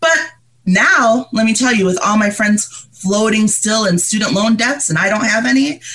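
A woman with an ordinary speaking voice keeps a moderate pace and lively intonation. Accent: General American. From Liberia, raised in upstate New York. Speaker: mental health advocate. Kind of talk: interview conversation.

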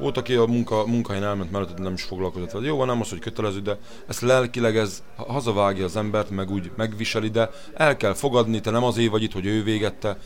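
At a very fast pace, a man talks with a fairly low pitch and fairly even intonation. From Hungary. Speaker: slaughterhouse worker. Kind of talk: interview. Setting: restaurant.

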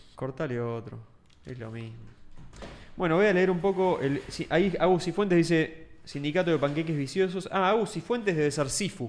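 A man with a Rioplatense accent speaks at a moderate pace in a fairly high voice. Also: lively intonation. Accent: Argentine Rioplatense Spanish. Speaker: podcast co-host. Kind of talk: casual chat.

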